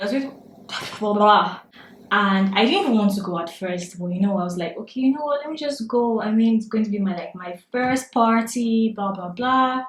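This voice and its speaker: A woman's fairly high voice with a Nigerian accent, at a moderate pace with ordinary pitch variation, amid noticeable background noise. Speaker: beauty vlogger. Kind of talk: storytime vlog while doing makeup. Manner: animated.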